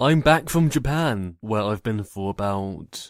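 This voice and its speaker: In a plain, everyday voice, a man speaks at a fairly slow pace with lively intonation, recorded very cleanly over a silent background. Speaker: fanfiction narrator. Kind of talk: casual vlog rant.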